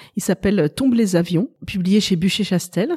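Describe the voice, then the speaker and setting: With a normal speaking voice, a woman talks at a fairly quick pace with medium pitch and ordinary pitch variation, the sound dry and close with no echo. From Paris, France. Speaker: novelist. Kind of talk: interview.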